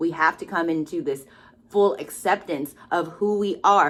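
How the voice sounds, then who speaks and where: A woman's mid-range voice moves along at a moderate tempo. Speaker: tarot card reader. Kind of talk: spiritual card reading monologue. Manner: loud, expressive; casual, hesitant with fillers.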